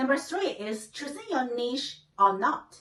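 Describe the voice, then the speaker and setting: Speaking at a fairly slow pace, a woman with a high-pitched voice has a Chinese accent. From China. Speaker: YouTuber. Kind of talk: vlog tutorial.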